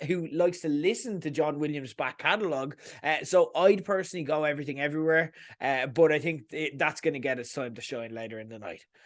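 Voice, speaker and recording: A man speaks at a fairly quick pace with an Irish accent. His intonation is lively and his tone animated, against a quiet background. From Ireland. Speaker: podcast host, film commentator. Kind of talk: opinionated monologue.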